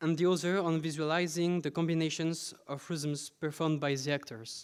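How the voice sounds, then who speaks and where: Speaking in a French accent, a man keeps a moderate pace and fairly even intonation. The recording is very clean, with a silent background. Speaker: PhD researcher presenting. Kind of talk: conference talk. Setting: conference with audience.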